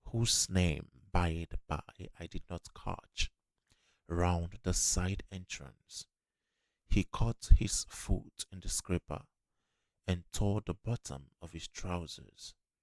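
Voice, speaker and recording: Soft-spoken and very deep, a man talks in a gentle tone at a very slow pace, with long, frequent pauses. His pitch varies in an ordinary way. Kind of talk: ASMR book reading. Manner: soft-spoken, gentle.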